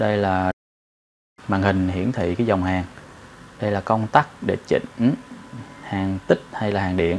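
A man has an unremarkable speaking voice with a fairly low pitch and fairly even intonation. He talks at a fairly slow pace over light background noise. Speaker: welding instructor. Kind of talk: tutorial. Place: workshop.

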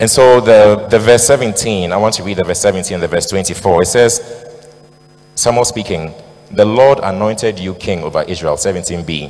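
A man with a fairly low pitch talks at a fairly quick pace. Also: ordinary pitch variation. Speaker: preacher. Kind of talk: sermon. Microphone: handheld.

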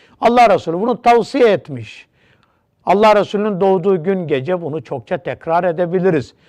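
Over a quiet background, a man talks at a moderate pace in a high pitch with lively intonation. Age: 60s. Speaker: religious teacher. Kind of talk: religious TV talk.

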